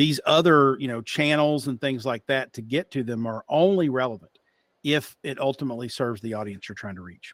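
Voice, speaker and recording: Fairly quick speech from a man with a slight Appalachian accent, medium pitch, ordinary pitch variation and big swings in loudness, in a dry, close, very clean recording with a silent background. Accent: slight Appalachian twang. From Eastern Kentucky / West Virginia (Appalachia). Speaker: marketing executive and podcast host. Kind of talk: interview.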